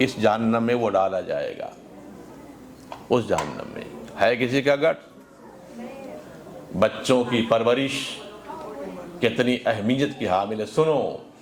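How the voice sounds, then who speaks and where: A man speaks with ordinary pitch variation while noticeable noise runs in the background. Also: medium pitch for a man. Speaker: Islamic scholar and preacher (mufti). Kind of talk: Islamic sermon (religious speech to a congregation).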